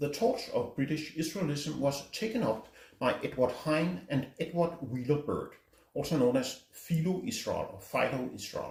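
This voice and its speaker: A man with a Danish accent and a fairly high pitch, lively intonation and a moderate pace. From Denmark. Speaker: book reviewer. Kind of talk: book review talk.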